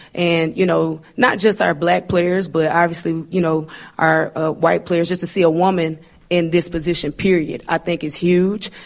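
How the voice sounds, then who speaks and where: A woman with a Southern US accent, flat and monotone in her intonation. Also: fairly low pitch for a woman, moderate pace. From Arkansas. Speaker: basketball coach. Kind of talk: press conference.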